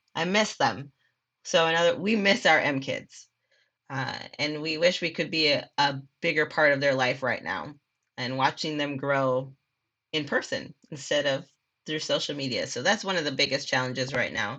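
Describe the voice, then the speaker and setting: With an Upper Midwest accent, a woman speaks in a very deep, low pitch and a bright, sharp tone, showing ordinary pitch variation against a quiet background. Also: moderate pace. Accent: Upper Midwest (Minnesota). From Minnesota, Minneapolis. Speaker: assistant children's minister. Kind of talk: casual chat.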